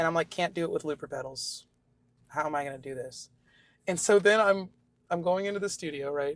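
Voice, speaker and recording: A woman with an American accent speaks at a fairly quick pace in a fairly low voice, with ordinary pitch variation and long, frequent pauses, on a very clean recording against a silent background. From Austin, Texas. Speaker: guitarist and singer. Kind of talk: interview answer. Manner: candid, animated.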